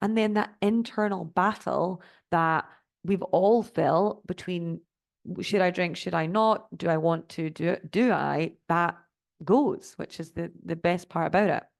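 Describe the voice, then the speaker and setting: Speaking fairly slowly with a Scottish accent, a woman uses a fairly low pitch and ordinary pitch variation. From Scotland. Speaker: sobriety life coach. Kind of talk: online master class presentation.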